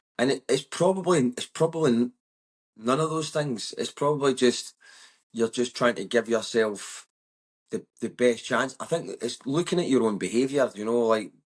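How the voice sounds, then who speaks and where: A man speaks in a West of Scotland accent at medium pitch with ordinary pitch variation. The pace is moderate and the background is quiet. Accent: West of Scotland Scottish. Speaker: comedian. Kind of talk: casual chat. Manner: loud; animated.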